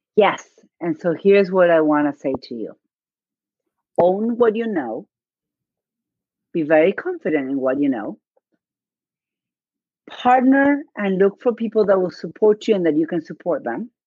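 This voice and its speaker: Speaking with a non-native accent, a woman keeps a moderate pace and medium pitch. Her pitch swings very widely, with long, frequent pauses. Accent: noticeable non-native. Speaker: podcast guest, business coach. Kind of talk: conversational, confident. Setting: live stream / video call.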